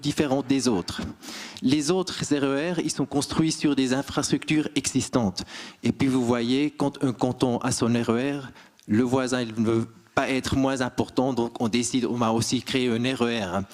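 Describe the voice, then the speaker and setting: A man talks with ordinary pitch variation, his pitch medium and his pace fairly slow. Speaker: railway manager. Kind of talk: conference talk.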